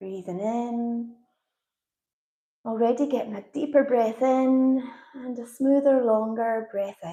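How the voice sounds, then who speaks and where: In a Scottish accent, the voice moves at a very slow pace with long, frequent pauses, using a calm, soothing, dark and mellow tone with big swings in loudness. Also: woman, fairly high pitch for a woman. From Scotland. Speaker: yoga instructor. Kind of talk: guided yoga and breathwork instruction. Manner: calm, soothing, slow.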